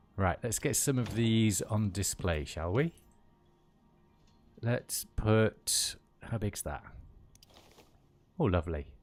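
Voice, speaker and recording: A man's fairly low voice with a West Midlands accent, very slow and full of long, frequent pauses, with lively intonation, on a very clean recording with a silent background. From West Midlands, England (Kidderminster). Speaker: gaming streamer. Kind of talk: casual gameplay livestream chat. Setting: livestream.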